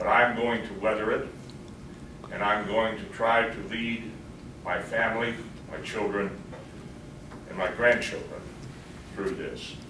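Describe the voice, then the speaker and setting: There is audible room echo and noticeable background noise as a man speaks fairly slowly with long, frequent pauses. His pitch is medium and his intonation fairly even. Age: 70s. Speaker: victim. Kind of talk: victim impact statement. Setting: courtroom.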